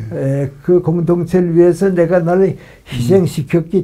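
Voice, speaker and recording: Music sits in the background as a man talks at a fairly slow pace. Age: 80s+. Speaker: philosopher, professor. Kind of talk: interview answer.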